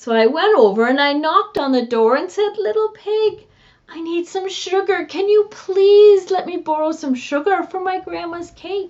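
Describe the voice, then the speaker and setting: A woman speaks in a put-on character voice with an extremely high pitch. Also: moderate pace. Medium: read story. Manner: defensive, indignant storytelling.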